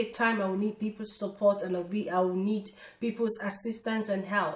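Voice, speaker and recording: A woman speaks in a somewhat breathy voice at a medium pitch with ordinary pitch variation. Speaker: lifestyle vlogger. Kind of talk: casual motivational talk to camera.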